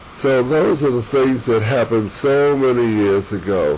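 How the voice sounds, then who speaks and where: A man with an American accent, medium pitch, ordinary pitch variation and a moderate pace, amid noticeable background noise. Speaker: family elder sharing memories. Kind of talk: oral history interview. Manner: halting, with false starts.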